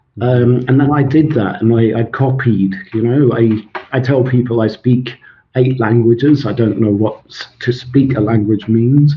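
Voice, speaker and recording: Here a man speaks at a medium pitch in a somewhat breathy voice. His pace is moderate and his intonation fairly even. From Scotland. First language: Swedish. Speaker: author and language expert. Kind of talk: interview.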